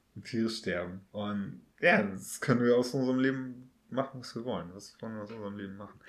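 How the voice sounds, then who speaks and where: A man talks in an ordinary speaking voice at a medium pitch, with ordinary pitch variation. His pace is fairly quick, with hardly any pauses and big swings in loudness. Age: 30s. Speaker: podcast host. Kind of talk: casual chat.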